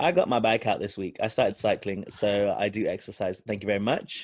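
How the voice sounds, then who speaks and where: The pace is fairly quick, with a British accent. Pitch rises and falls by an ordinary amount. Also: man, fairly low pitch for a man. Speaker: podcast host.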